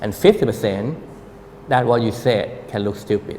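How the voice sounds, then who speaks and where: A man with a Thai accent speaks at a medium pitch with ordinary pitch variation. There is noticeable background noise. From Thailand. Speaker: architect. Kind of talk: public talk.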